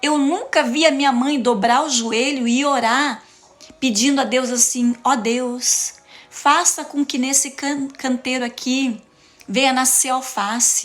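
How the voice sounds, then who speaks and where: Over noticeable background noise, a woman with a Paraná accent and a high pitch speaks at a very slow pace. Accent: Paraná interior. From interior of Paraná, Brazil. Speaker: preacher / motivational speaker. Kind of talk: sermon-style live talk. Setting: live stream. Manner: animated.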